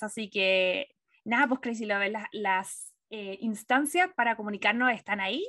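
A woman is speaking. She has a Chilean accent. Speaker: film and TV podcast co-host. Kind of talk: casual chat.

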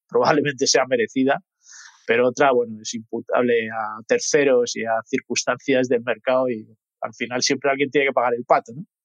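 Here a man speaks in a monotone, with flat intonation, at medium pitch. The pace is moderate and the sound is dry and close, with no echo. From Madrid, Spain. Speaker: mortgage company executive. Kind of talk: interview.

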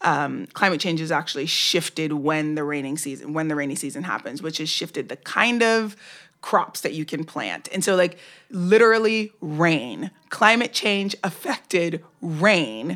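With a plain, everyday voice, a woman speaks at a moderate pace, her fairly low pitch carrying lively intonation. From New York, Brooklyn. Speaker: social media campaigner, former entertainment lawyer. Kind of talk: casual chat.

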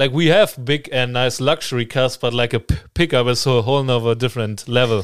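A man with a German accent talks at a fairly quick pace with hardly any pauses, his medium pitch showing ordinary variation. His loudness stays very even, and the recording is very clean with a silent background. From Germany. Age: 20s. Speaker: student. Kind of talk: casual interview.

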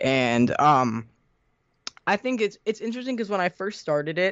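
Here a man has a normal speaking voice. His intonation is lively and his pace moderate. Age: under 20 (18). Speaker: YouTuber. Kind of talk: casual interview.

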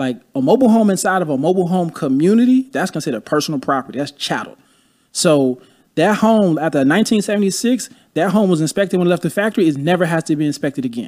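Against a silent background in a very clean recording, a man with a high pitch talks at a very fast pace with lively intonation. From Chicago. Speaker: real estate investor. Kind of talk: casual interview.

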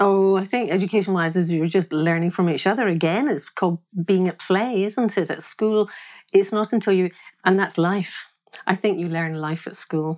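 Her pitch is medium for a woman. She keeps a moderate pace. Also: ordinary pitch variation. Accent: Glaswegian. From Scotland, Glasgow. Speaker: singer and artist. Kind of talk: interview conversation.

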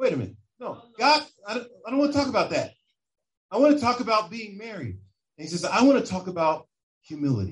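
A man talks very fast in a high, animated voice with very wide pitch swings and big swings in loudness. He leaves long, frequent pauses. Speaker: preacher. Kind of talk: sermon. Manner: animated, full-flow preaching with building emphasis.

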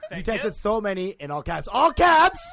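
A man with an American accent in a raised, projected voice, high in pitch with very wide pitch swings, at a moderate pace. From Texas. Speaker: comedian.

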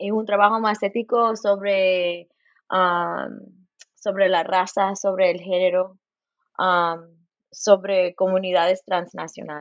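Her pitch medium and her intonation flat and monotone, a woman speaks very slowly. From US West Coast, Los Angeles. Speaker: professor and folklorist. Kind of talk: interview. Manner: halting, many repetitions and fillers; code-switching into English.

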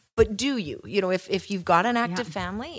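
On a very clean recording with a silent background, a woman speaks with a Western Canadian accent and ordinary pitch variation. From Canada, Kelowna, British Columbia. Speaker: real estate agent, podcast co-host. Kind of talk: casual chat.

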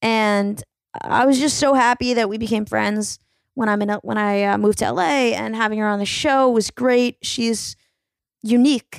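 Heard in a very clean recording with a silent background and a dry, close sound with no echo, a woman with an ordinary speaking voice and a fairly high pitch talks at a moderate pace with ordinary pitch variation. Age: 20s. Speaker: comedian and podcast host. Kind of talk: solo podcast intro; casual chat. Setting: recording intro while traveling in Greece.

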